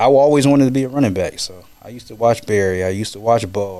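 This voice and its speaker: A man with an American accent speaks at a very fast pace with ordinary pitch variation. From Kansas. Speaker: former football player and fitness trainer. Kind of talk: casual chat.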